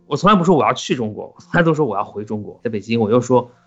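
Over background music, a man with a medium-pitched voice talks very fast with lively intonation. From Qinghai, China (Xining). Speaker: podcast co-host. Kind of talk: casual chat.

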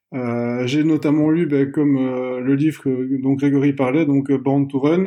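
A man speaks at a fairly slow pace with a dark, mellow tone. His pitch is fairly high for a man, and his intonation stays fairly even. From Belgium. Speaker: barefoot runner. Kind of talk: casual chat.

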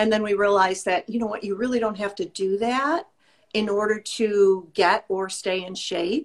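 A woman with an American accent and an ordinary speaking voice talks at a moderate pace, her medium pitch varying in an ordinary way. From US Midwest. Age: 60s. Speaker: fitness instructor and skincare business owner. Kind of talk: casual chat.

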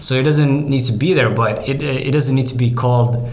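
A man's monotone, flat voice amid noticeable background noise and audible room echo. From Norway. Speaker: startup CEO. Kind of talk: casual interview. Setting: in-person studio.

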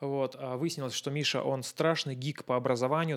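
A man with a plain, everyday voice speaks at a fairly quick pace. His pitch is medium and his intonation fairly even. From Russia. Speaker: photographer. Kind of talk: casual chat.

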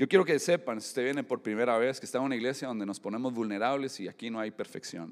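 On a very clean recording with a silent background, a man with a medium pitch talks at a very fast pace with ordinary pitch variation. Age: 40s. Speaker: pastor. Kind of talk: sermon. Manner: halting.

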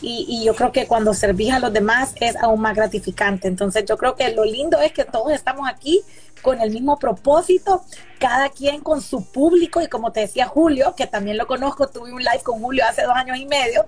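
Lively in intonation, a high-pitched woman talks at a fairly quick pace. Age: 40s. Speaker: businesswoman and investor. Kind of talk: casual interview chat. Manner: animated.

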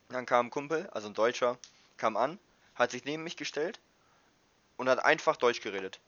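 With ordinary pitch variation around a medium pitch, a man talks at a fairly quick pace. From northern Germany, Wildeshausen. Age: 20s. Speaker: university student. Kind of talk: casual chat.

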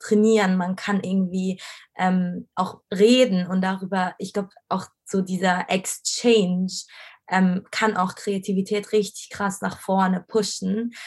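A woman speaks fairly slowly at a medium pitch. Her intonation is monotone and flat, and her voice is somewhat breathy. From Egypt, Cairo. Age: 20s. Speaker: design student. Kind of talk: casual interview.

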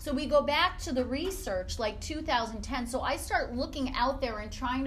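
Speaking in an American accent at a moderate pace, a woman uses a high pitch, with audible room echo and noticeable background noise. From upstate New York. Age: 40s. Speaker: fitness business owner. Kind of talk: guest talk to a class. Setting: classroom with audience.

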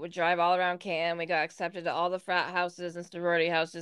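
In an American accent, a woman with a fairly low pitch speaks at a very fast pace with monotone, flat intonation over a quiet background. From Northern New York. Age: 30s. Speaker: podcast co-host. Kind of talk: casual chat.

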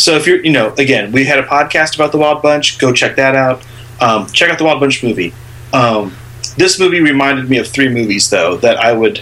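Against noticeable background noise, a man with a fairly high voice talks at a fairly quick pace, keeping very even loudness and ordinary pitch variation. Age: 30s. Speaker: film podcast co-host. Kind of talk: casual chat.

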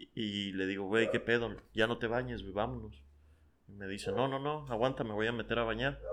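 At a moderate pace, a man talks in a plain, everyday voice at medium pitch with fairly even intonation. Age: 20s. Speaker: podcast guest. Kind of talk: casual chat.

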